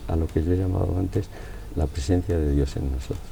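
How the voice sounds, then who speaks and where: A man talks in a very deep, low voice over noticeable background noise. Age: 80s+. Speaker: philosopher. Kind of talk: interview answer.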